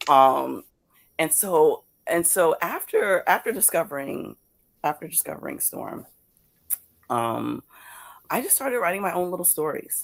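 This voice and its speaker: A woman with an American accent at a fairly slow pace, with long, frequent pauses. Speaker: comics creator and awards judge. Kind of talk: interview on live podcast. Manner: halting, frequent repetitions.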